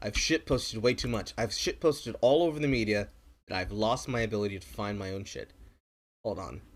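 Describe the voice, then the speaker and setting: A man talks fairly quickly with vocal fry, a medium pitch and lively intonation. The recording is very clean, with a silent background. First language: not English. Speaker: streamer. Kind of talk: live stream reaction commentary. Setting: live stream. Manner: animated.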